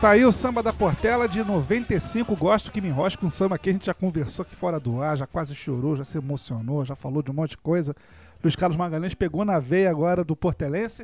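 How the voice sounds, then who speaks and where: A man talks in a high voice, his intonation lively. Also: fairly quick pace. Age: 30s. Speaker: radio host. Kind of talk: radio show hosting.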